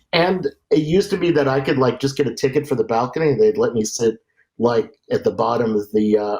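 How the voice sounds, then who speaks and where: Talking at a fairly quick pace, a man moves his pitch through very wide swings. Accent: American. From New York suburbs (Westchester). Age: 60s. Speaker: film director and theater sound technician. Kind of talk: interview conversation. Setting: video call. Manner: halting, many fillers.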